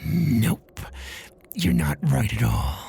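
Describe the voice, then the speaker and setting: Putting on a growling character voice, a man lets his pitch swing very widely. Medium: read story. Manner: unsettling, ominous.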